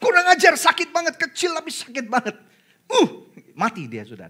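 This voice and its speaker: A man speaks at a moderate pace with an animated tone. His loudness swings widely, and he takes long, frequent pauses. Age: 40s. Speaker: pastor. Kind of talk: sermon.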